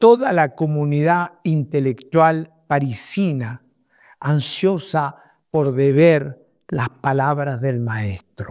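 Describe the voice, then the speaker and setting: On a very clean recording with a silent background, a man talks at a very slow pace, fairly high in pitch with ordinary pitch variation. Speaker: psychoanalyst and author. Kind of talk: reading aloud his own book prologue. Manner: formal.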